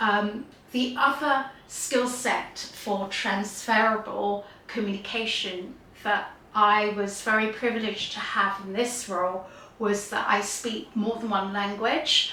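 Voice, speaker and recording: A woman's fairly high voice at a fairly slow pace, with fairly even intonation, audible room echo and noticeable background noise. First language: Gujarati. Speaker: YouTuber sharing career story. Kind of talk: personal storytelling monologue.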